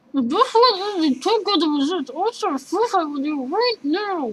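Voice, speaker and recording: This woman's voice is extremely high. She is doing a put-on character voice. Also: moderate pace. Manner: playful, teasing.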